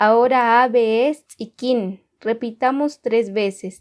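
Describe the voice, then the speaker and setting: In a Guatemalan accent, a woman speaks very slowly with a fairly high pitch. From Guatemala, K'iche' Maya community. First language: K'iche' (speaking Spanish). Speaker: language teacher. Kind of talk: tutorial. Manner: slow, clear repetition of words.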